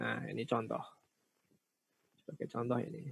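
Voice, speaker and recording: A man's voice with ordinary pitch variation, recorded dry and close with no echo. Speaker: teacher training instructor. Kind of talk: online tutorial workshop.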